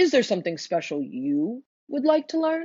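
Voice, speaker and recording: The speaker uses a put-on character voice at a fairly high pitch. The pace is moderate. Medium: read story. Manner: gentle.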